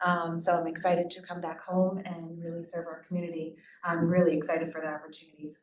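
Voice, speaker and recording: A woman with an American accent and a fairly low voice talks at a very fast pace in monotone, flat intonation, with audible room echo. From US Northeast (Hudson Valley, New York). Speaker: new assistant principal. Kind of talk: self-introduction at public meeting. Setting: board meeting at a microphone. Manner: loud projecting teacher voice.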